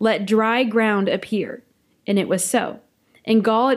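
Heard on a very clean recording with a silent background, a woman speaks at a fairly slow pace. She has a plain, everyday voice, fairly high in pitch, with fairly even intonation. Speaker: podcast host. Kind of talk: casual chat.

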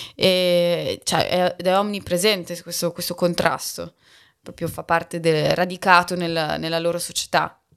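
On a very clean recording with a silent background, a woman speaks at a fairly low pitch and a fairly slow pace in a monotone, flat intonation. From Bologna, Italy. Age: 30s. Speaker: sinologist and podcaster. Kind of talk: casual interview. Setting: in person. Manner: halting, with many fillers.

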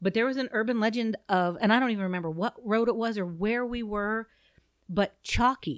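A woman with a Midwestern accent and ordinary pitch variation, in a dry, close sound with no echo on a very clean recording with a silent background. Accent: US Midwest (Ohio). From Southeast Ohio. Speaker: podcast co-host. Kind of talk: casual chat.

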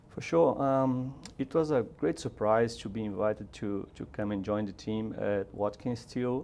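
A dark, mellow voice with a Brazilian accent speaks at a moderate pace with ordinary pitch variation. The background is quiet. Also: man. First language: Portuguese. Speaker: robotics engineer. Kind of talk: casual interview.

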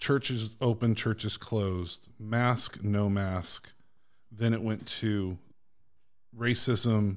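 In a very clean recording with a silent background, a man speaks at a fairly low pitch with monotone, flat intonation. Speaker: pastor guest. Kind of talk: casual chat. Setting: studio.

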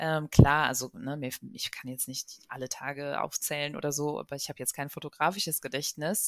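A woman with a very deep, low pitch speaks at a moderate pace with fairly even intonation but big swings in loudness. The sound is dry and close with no echo, on a very clean recording with a silent background. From Germany. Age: 30s. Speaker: journalist and author. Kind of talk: interview.

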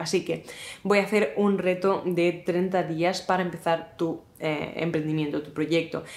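Her intonation fairly even, a woman speaks in a fairly low voice. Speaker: YouTuber and content creator. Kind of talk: casual talking-head vlog. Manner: fast.

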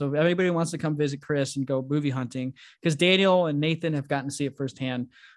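Over a quiet background, a man talks very fast at a fairly high pitch. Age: 20s. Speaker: fellow podcast host. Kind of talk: casual chat. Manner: animated, laughing often.

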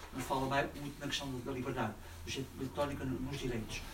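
A fairly high-pitched man talks fairly quickly, with background noise clearly audible. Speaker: audience member asking questions. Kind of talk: audience question.

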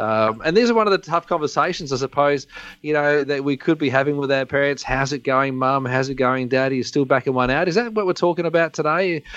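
Pitch runs fairly high for this man, varying in an ordinary way. He rushes along at a very fast pace with hardly any pauses. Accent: Australian. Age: 40s. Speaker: chiropractor and co-host. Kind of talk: casual interview chat. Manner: joking, lively.

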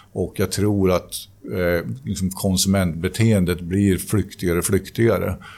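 A man's very deep, low pitch and dark, mellow tone at a moderate pace, with very even loudness in a very clean recording with a silent background. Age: 50s. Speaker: company CEO. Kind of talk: interview. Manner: halting.

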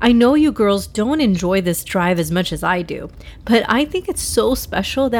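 Someone reads aloud in a natural reading voice. The pitch rises and falls in a lively way.

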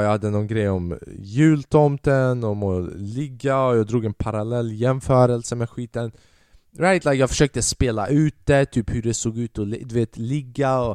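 In an animated tone, a man speaks at a moderate pace and medium pitch with ordinary pitch variation, the sound dry and close with no echo against a quiet background. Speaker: podcast host and stand-up comedian. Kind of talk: stand-up comedy storytelling, recounting his first gig to an audience. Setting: podcast recording. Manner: casual and chatty, rambling with repeated words and dramatic pauses.

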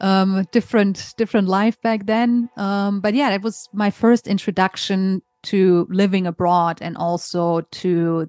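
A woman with a German accent speaks at a fairly slow pace. The sound is dry and close with no echo, and the background is quiet. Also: hardly any pauses. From Germany. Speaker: insurance author and consultant. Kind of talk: podcast interview.

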